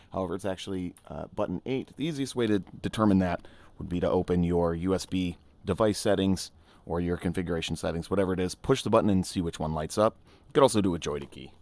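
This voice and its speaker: A man with a Midwestern American accent and a very deep, low pitch talks at a very fast pace with ordinary pitch variation. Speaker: gaming YouTuber. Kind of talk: tutorial. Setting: home, playing a VR sim game. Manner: casual, filler-heavy.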